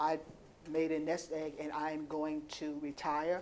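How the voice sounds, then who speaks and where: In audible room echo, a woman talks with a very deep, low pitch and monotone, flat intonation. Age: 60s. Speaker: panel moderator and farmer. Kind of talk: conference panel moderation.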